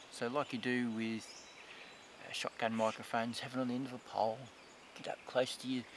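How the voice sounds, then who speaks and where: A man speaks in a dry recording with no echo and noticeable background noise. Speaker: hobby filmmaker reviewing gear. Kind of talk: casual product review. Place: forest.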